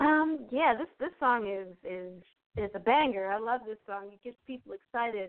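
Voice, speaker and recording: Using an unremarkable speaking voice, a woman talks at a moderate pace and a fairly high pitch, with lively intonation and big swings in loudness. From US, Maryland (Harford County). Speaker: pianist and composer. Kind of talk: interview.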